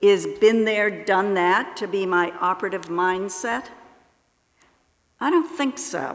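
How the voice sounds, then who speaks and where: Amid audible room echo, a woman with a medium pitch speaks at a fairly slow pace with lively intonation. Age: 70s. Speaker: lay speaker at church service. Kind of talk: sermon.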